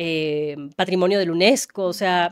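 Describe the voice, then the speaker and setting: A woman speaks at a medium pitch, in a dry, close sound with no echo. The recording is very clean, with a silent background. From Ecuador. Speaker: journalist. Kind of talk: interview conversation.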